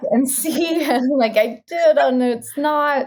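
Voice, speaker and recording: A bubbly, high-pitched woman's voice with lively intonation and a General American accent. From Arizona. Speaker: actress, comedian and voice-over artist. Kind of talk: interview answer. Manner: bubbly, genuine.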